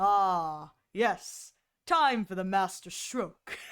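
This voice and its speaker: Using a put-on character voice, a woman speaks at a very slow pace and a medium pitch. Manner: suave, confident.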